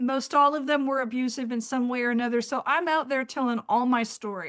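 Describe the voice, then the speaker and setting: A woman with a high pitch talks at a fairly quick pace in a very clean recording with a silent background. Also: ordinary pitch variation. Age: 70s. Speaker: author and memoirist. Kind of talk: interview.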